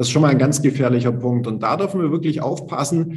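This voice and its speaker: A somewhat breathy man's voice, fairly high in pitch, with ordinary pitch variation. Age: 40s. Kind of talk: casual chat.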